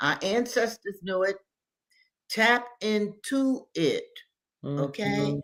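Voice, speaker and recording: A woman speaks at a very slow pace, with long, frequent pauses. Her intonation is lively. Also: medium pitch for a woman. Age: 70s. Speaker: activist and scholar. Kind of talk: interview. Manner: animated.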